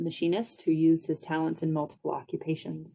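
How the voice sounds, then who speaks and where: A woman's dark, mellow voice with an American accent. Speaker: historic preservation staff. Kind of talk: formal presentation. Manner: formal.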